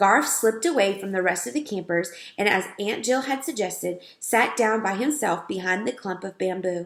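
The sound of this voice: An unforced reading voice carries the text.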